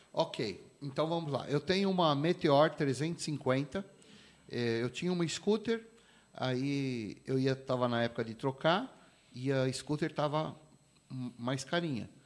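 Very slow and full of long, frequent pauses, a man speaks at a fairly high pitch with ordinary pitch variation. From São Paulo, east zone (Vila Carrão). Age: 50s. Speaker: pastor and motorcycle club president. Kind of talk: casual interview chat.

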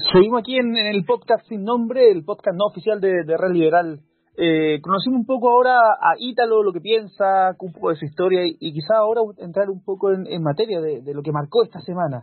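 Speaking at a fairly quick pace, a man has a high pitch and lively intonation. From Chile, Valparaíso region. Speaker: podcast host. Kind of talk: casual chat.

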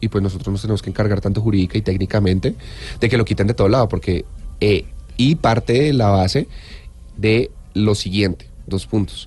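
The speaker talks at a fairly quick pace, somewhat breathy and at very even loudness, with ordinary pitch variation and long, frequent pauses. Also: man, fairly low pitch for a man. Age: 30s. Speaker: lawyer, information security specialist. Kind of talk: expert interview. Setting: studio.

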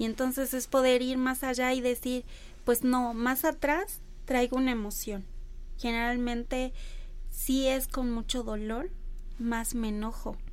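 A woman's high-pitched voice, fairly slow and fairly even in intonation, with long, frequent pauses. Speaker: body-focused therapist. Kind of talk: radio interview. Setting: radio studio.

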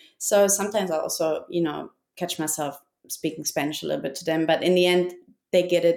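A woman with a German accent, fairly low in pitch, at a moderate pace, on a very clean recording with a silent background. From Germany. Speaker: expat guest, parent working remotely. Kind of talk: casual interview chat.

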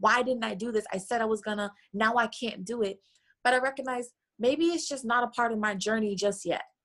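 The speaker uses a plain, everyday voice with ordinary pitch variation, talking fairly quickly. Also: woman, fairly high pitch for a woman. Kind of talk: interview conversation.

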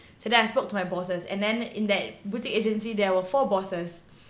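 A woman at a medium pitch, very fast pace and fairly even intonation, with audible room echo and noticeable background noise. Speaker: actress. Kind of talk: casual interview.

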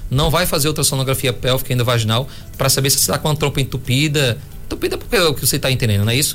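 Music plays behind a man speaking at a very fast pace at medium pitch. His loudness is very even and his pitch varies in an ordinary way. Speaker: physician doing ultrasound. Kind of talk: radio health talk.

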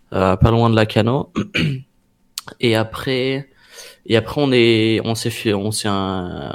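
A man speaks at a very slow pace with long, frequent pauses and fairly even intonation. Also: medium pitch for a man. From southwest France. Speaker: professional esports player. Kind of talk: interview. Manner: halting.

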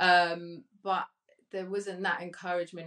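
A woman with a British accent speaks at a fairly slow pace. Her intonation is monotone and flat. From Colombia, Cali; raised in UK from age 10. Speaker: digital marketing agency owner. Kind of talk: panel discussion.

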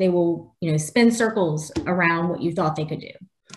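A woman talks in a fairly low, somewhat breathy voice with ordinary pitch variation. The background is quiet. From New Orleans, Louisiana. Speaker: technology leader. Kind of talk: interview.

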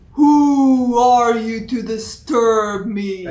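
This put-on character voice is booming and fairly high in pitch. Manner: commanding, imposing.

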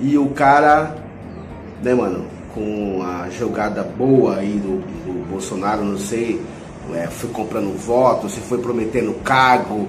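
Lively intonation marks a man's speech. Audible room echo and noticeable background noise accompany it. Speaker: podcast host. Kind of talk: casual monologue commentary. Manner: casual, slangy with fillers.

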